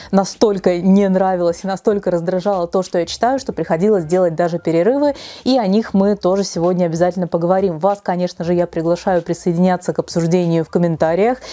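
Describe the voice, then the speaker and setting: A very fast pace with a dark, mellow tone and ordinary pitch variation. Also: woman. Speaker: book blogger. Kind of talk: casual vlog chat. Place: home room. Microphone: lapel.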